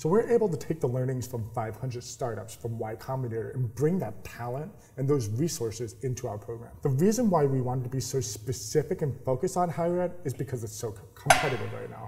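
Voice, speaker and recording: A very fast-talking man with hardly any pauses, medium pitch and ordinary pitch variation, over noticeable background noise. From New York. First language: sign language. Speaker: startup accelerator founder. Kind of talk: interview. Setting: incubator office.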